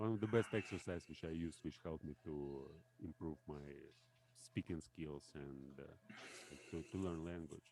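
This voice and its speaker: Speaking in a Russian accent, a man with a very deep, low voice keeps a moderate pace and ordinary pitch variation. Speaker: language learner. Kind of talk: casual chat. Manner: halting.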